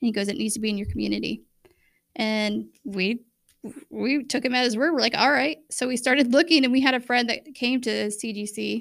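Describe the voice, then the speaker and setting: A woman with an American accent, vocal fry, a fairly high pitch, ordinary pitch variation and a fairly quick pace. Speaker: podcast co-host sharing faith testimony. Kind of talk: testimony.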